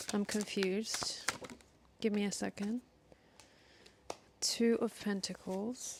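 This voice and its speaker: Soft-spoken, a woman talks at a very slow pace in a monotone, flat intonation, with long, frequent pauses. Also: medium pitch for a woman. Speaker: tarot reader. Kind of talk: tarot reading.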